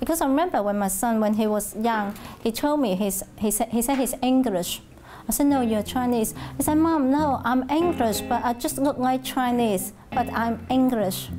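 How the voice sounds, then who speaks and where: A woman with a Hong Kong accent, high pitch, ordinary pitch variation, very even loudness and a moderate pace, over noticeable background noise. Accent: Hong Kong Cantonese-accented English. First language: Cantonese. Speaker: Cantonese language teacher. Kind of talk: oral history interview answer. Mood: calm, reflective. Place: classroom. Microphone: lapel.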